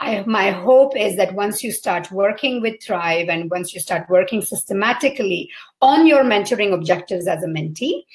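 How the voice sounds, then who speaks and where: A woman with a medium pitch speaks at a moderate pace. Her voice is somewhat breathy, with lively intonation. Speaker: mentoring program founder. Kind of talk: live Q&A talk. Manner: halting with fillers.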